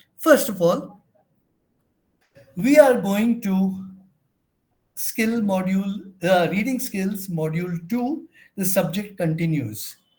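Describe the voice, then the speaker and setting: Audible room echo surrounds a man with a high pitch and lively intonation. He talks at a very slow pace with long, frequent pauses. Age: 70s. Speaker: research methodology trainer. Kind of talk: lecture. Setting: online session. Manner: halting.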